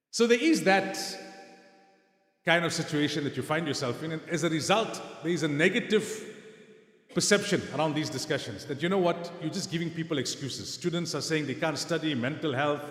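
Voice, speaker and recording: There is audible room echo around a man speaking in a fairly high pitch. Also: ordinary pitch variation, fairly quick pace. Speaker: Islamic scholar and lecturer. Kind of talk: lecture.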